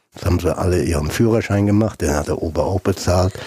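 Somewhat breathy and dark, mellow in tone, a man's voice comes through with a dry, close sound and no echo. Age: 70s. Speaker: retired footballer and scout. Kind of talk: interview.

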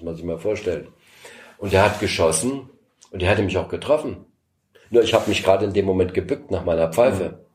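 A somewhat breathy man at a fairly low pitch and a very fast pace, with ordinary pitch variation, big swings in loudness, and long, frequent pauses. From East Berlin, Germany. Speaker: former political prisoner and escape helper. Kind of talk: interview testimony.

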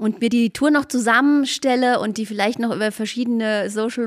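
A woman talks in a plain, everyday voice. Her pitch is fairly high and her intonation fairly even. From Spessart, Lower Franconia, Bavaria. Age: 50s. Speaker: hiking association director. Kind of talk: casual interview.

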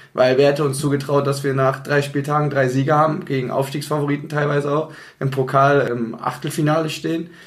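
A man's fairly high, somewhat breathy voice in a flat monotone at a fairly quick pace, with audible room echo. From Bonn, Rhineland, Germany. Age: 20s. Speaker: amateur football team captain. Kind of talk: casual interview.

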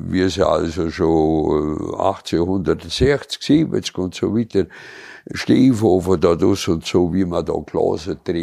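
A man with a very deep, low pitch and a dark, mellow tone at a very slow pace. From Allgäu, Bavaria. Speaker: local elder sharing childhood memories. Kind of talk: casual reminiscing chat. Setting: cozy living room by a tiled stove.

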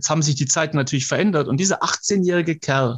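A man speaks at a fairly high pitch with ordinary pitch variation. His voice is somewhat breathy. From Swabia, southern Germany. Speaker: motivational speaker. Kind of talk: casual interview. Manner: animated.

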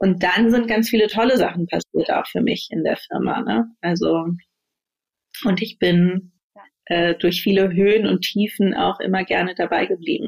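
A woman talks at a moderate pace with a medium pitch. Her intonation is lively, with vocal fry. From Berlin, Germany. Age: 30s. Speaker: managing director. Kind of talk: interview. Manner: hesitant, many fillers.

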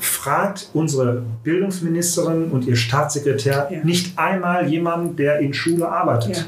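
A man with a high pitch speaks at a moderate pace with hardly any pauses, very even loudness and ordinary pitch variation. Audible room echo and noticeable background noise are present. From Mülheim an der Ruhr, Germany. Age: 40s. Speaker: teacher and local education politician. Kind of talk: casual political chat. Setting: room with masks and ventilation on.

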